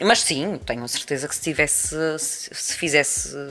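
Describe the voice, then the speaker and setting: A woman's very deep, low voice at a moderate pace. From Azores, Terceira island (Praia da Vitória). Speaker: journalist and radio presenter. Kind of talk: casual interview. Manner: halting, many repetitions.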